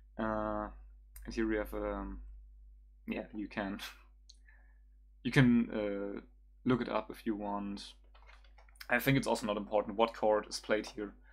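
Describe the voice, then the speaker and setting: Someone with a German accent speaks at a fairly slow pace, leaving long, frequent pauses. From Germany. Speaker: music producer streamer. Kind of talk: tutorial livestream. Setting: livestream at home computer. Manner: halting, many fillers.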